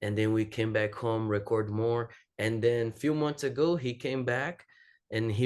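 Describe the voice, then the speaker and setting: At a fairly slow pace and a fairly low pitch, a man speaks with a Portuguese accent over a quiet background. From Brazil. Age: 20s. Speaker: jiu-jitsu athlete and academy owner. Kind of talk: podcast interview. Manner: halting non-native phrasing.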